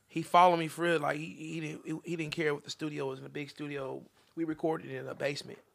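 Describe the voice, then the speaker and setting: A man with an American accent talks at a very fast pace. His pitch is fairly high and his intonation fairly even. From Topeka, Kansas (central Topeka). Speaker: singer. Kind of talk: casual chat.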